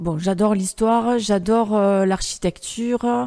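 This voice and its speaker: Her tone dark and mellow, a woman speaks at a fairly slow pace with ordinary pitch variation. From southern France, Narbonne. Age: 40s. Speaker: urban exploration photographer. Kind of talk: interview monologue. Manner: hesitant, many fillers.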